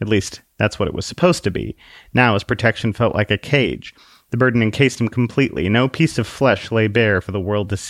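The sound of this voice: The voice reads in an unforced way, its pitch varying in an ordinary manner.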